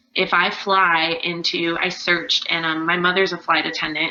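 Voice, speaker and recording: Noticeable background noise sits behind a woman with an American accent. Her fairly low voice moves at a moderate pace in a monotone, flat intonation. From California. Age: 20s. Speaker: makeup artist and dancer. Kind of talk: casual interview chat. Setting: video call.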